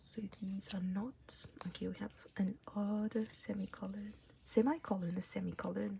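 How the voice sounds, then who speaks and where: This voice carries a non-native accent. It moves along at a moderate speed. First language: not English. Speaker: K-pop photocard collector YouTuber. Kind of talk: casual tutorial-style vlog. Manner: casual, hesitant with fillers.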